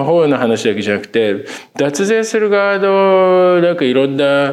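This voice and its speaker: The man talks at a fairly slow pace, and audible room echo hangs around his words. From Tokyo, Ota ward (Kamata). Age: 50s. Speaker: film critic podcast co-host. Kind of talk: casual interview chat.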